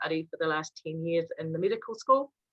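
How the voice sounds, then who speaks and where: A woman's fairly quick delivery in a New Zealand accent. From New Zealand, West Auckland. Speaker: university lecturer in Māori health. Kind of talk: online workshop presentation.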